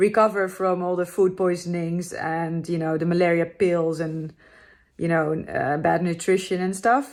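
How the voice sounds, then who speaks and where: In a Dutch accent, a woman speaks at a fairly low pitch with fairly even intonation. The recording is very clean, with a silent background. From Netherlands. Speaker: motorcycle travel vlogger. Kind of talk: casual vlog to camera.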